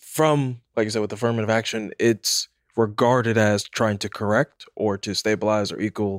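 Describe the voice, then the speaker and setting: In an ordinary speaking voice, a man with an American accent talks at a fairly low pitch with fairly even intonation, the sound dry and close with no echo. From Jamaican family in the US. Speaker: church guest. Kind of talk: panel discussion.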